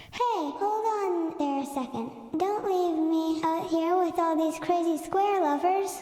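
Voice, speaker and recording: A squeaky put-on character voice goes at a fairly slow pace with a slight echo. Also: female-sounding voice, extremely high pitch for a woman. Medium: read story. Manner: brash, showy.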